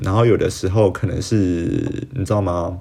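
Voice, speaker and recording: The man's voice has a dark, mellow tone and is somewhat breathy. He talks at a moderate pace with ordinary pitch variation. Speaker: podcast host. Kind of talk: solo podcast monologue. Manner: casual, hesitant with fillers.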